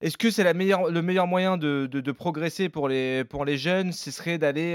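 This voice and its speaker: A man with a plain, everyday voice talks at a moderate pace with ordinary pitch variation, the sound dry and close with no echo. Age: 30s. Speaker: football podcast co-host. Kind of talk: casual chat.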